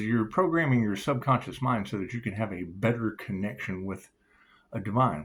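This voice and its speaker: Speaking at a moderate pace, a man with a normal speaking voice uses lively intonation. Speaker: tarot reader. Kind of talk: channeled tarot reading monologue. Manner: casual, freewheeling.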